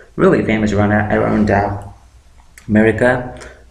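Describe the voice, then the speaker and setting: This man's voice sits fairly low. Noticeable background noise and audible room echo fill the recording. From India, Andhra Pradesh (Amalapuram). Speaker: YouTuber. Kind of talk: tutorial.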